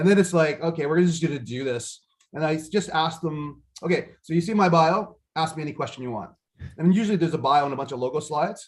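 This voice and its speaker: Talking very fast, a man with a fairly high voice uses ordinary pitch variation. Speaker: business speaker. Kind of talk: casual chat. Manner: loud.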